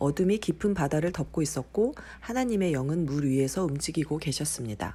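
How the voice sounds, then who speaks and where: At a moderate pace, a woman speaks in a gentle tone on a very clean recording with a silent background. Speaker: mother reading the Bible to her son, not a professional announcer. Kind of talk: Bible reading for children and new believers. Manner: gentle, plain, unpolished reading.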